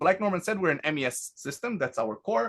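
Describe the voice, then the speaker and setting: Very wide pitch swings run through this man's speech, delivered in an Israeli accent. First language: Hebrew. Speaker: tech company founder. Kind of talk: product demo presentation.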